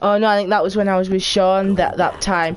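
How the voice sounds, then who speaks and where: This is a woman speaking with a Geordie accent. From northeast England (Geordie). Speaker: video game streamer. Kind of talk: casual live-stream chat while gaming. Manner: animated. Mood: relaxed, chatty.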